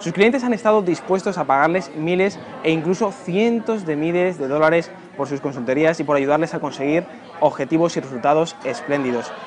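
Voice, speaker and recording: Over music in the background, a man with a fairly high pitch speaks at a very fast pace with lively intonation. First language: Spanish. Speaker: interviewer. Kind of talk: interview. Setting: restaurant.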